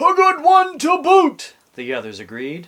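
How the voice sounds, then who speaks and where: Shouting in a put-on character voice, a man holds an extremely high pitch at a fairly slow pace. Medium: read story. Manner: shouting in unison.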